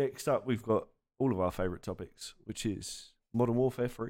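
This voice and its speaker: A man of medium pitch talks in a normal speaking voice with ordinary pitch variation. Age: 30s. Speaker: esports organisation podcast host. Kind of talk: casual chat.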